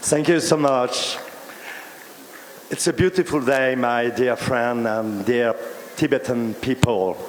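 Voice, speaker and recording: With a French accent, a man speaks at a very slow pace and medium pitch. Long, frequent pauses break his speech, and background noise is noticeable. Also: ordinary pitch variation. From France. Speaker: senator. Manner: halting.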